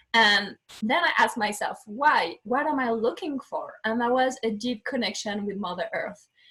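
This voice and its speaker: Bright and sharp in tone, a woman with a French accent speaks at a moderate pace, her fairly high pitch carried by lively intonation. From France (southwest). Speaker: life coach. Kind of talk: interview. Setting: video call.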